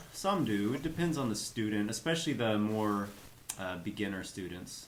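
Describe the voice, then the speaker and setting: A man's fairly low voice with a slight Kansas accent, lively intonation and a moderate pace, in audible room echo. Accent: light Kansas. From US Midwest, Kansas. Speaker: English teacher and YouTuber. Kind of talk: casual chat.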